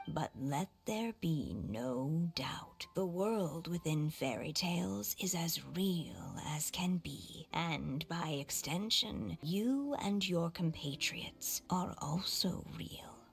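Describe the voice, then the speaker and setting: A put-on character voice at middle pitch and a very slow pace, with hardly any pauses and clear background noise. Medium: video game. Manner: solemn, measured.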